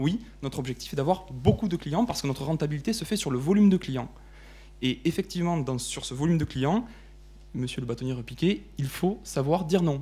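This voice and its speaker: A man's fairly high, dark and mellow voice with a Toulouse accent, somewhat breathy, fairly quick, with lively intonation. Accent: southern French accent (Toulouse). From southern France, Toulouse. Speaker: lawyer, law firm partner. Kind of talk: panel debate presentation. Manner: hesitant, repeats words.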